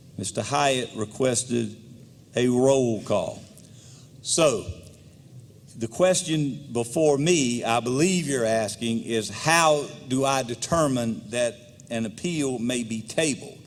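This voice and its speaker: A man's medium-pitched voice at a very slow pace, with long, frequent pauses. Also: ordinary pitch variation. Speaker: legislative speaker presiding. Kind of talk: parliamentary procedure. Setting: legislative chamber. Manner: formal.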